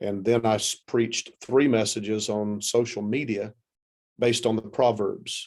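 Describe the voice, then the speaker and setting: Speaking with a Southern US accent, a man talks at a moderate pace and medium pitch with fairly even intonation. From US South, South Carolina. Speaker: pastor. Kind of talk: interview.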